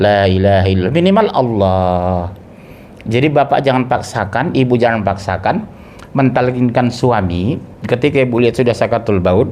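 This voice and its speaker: Audible room echo surrounds a man speaking at a medium pitch and a moderate pace, with very even loudness and ordinary pitch variation. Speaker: Islamic preacher. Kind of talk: sermon. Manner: conversational, engages audience.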